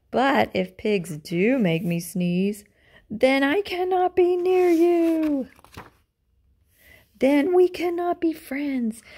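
A woman puts on a character voice, high-pitched with a dark, mellow tone. She speaks slowly with lively intonation.

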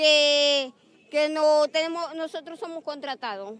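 Speaking at a fairly slow pace, a woman has a high pitch, and the sound is dry with no echo. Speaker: contract sanitation worker, protester. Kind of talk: protest speech, aggrieved complaint. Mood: indignant, complaining. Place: street. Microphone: handheld.

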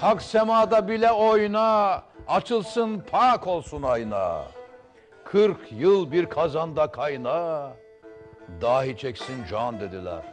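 A man with a high voice speaks at a very slow pace, his pitch swinging very widely. Faint music plays in the background. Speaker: politician. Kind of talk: poetry reading. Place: studio. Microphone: lapel.

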